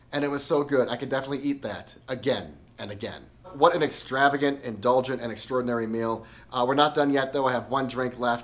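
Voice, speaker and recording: Over noticeable background noise, a man talks at a very fast pace and medium pitch in an enthusiastic tone. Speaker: food and travel vlogger. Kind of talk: restaurant review narration.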